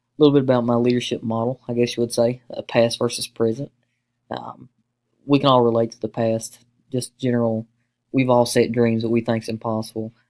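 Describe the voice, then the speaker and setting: In an Appalachian Kentucky accent, a man talks at a fairly quick pace with monotone, flat intonation, in a dry, close sound with no echo. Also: medium pitch for a man. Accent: Appalachian Kentucky accent, noticeable. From eastern Kentucky (Hazard, Appalachia). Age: 20s. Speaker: university student, deputy sheriff. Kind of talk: class presentation. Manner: fast.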